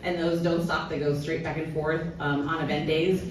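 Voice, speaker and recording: Noticeable background noise and audible room echo around a woman speaking fairly low. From Cuban heritage. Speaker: sustainability director at sports venue. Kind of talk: conference panel talk. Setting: stage with audience. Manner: loud.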